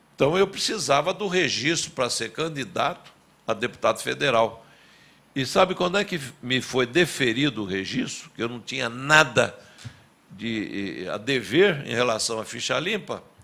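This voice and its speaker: Medium-pitched male voice with vocal fry, very wide pitch swings and a moderate pace. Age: 70s. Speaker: former mayor and politician. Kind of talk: testimony at public hearing. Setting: public hearing.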